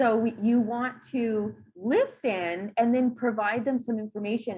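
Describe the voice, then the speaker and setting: A woman speaks in a fairly high pitch. Her voice is somewhat breathy. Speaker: dental hygiene instructor. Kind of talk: recorded lecture. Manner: fast.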